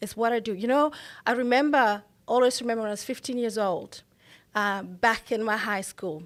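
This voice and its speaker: A woman with a Botswana accent speaks at a fairly high pitch and a moderate pace. Her pitch varies in an ordinary way, and the recording is very clean with a silent background. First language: Setswana. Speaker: mental health professional. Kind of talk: interview.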